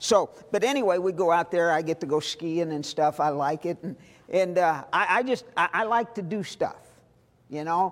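In a very clean recording with a silent background, a man with an American accent speaks at a moderate pace, his high pitch showing ordinary pitch variation. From US Midwest (Missouri, St. Louis). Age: 60s. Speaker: missionary. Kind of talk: sermon.

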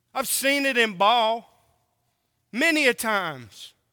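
Over a silent background in a very clean recording, a man uses a raised, projected voice with a bright, sharp tone, sounding animated, his pitch varying in an ordinary way. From Oklahoma and California. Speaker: preacher. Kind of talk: sermon.

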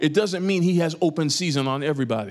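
With lively intonation and an animated, warm tone, a man talks at a high pitch and a fairly quick pace. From New York. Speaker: preacher. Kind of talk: sermon to a live congregation, conversational and exhortative. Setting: church. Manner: animated, warm, and urgent, with audience call-and-response; informal and storytelling, using humor and everyday analogies.

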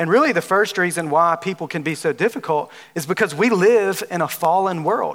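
This man has a Southern US accent and a high pitch. His tone is animated. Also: ordinary pitch variation. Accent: Southern drawl. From Alabama. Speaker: preacher. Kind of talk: sermon. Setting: church with audience.

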